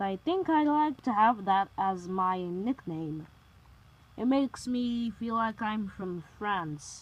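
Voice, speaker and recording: A woman puts on a gruff character voice at a medium pitch, speaking at a fairly slow pace. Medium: read story. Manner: gruff, grumpy.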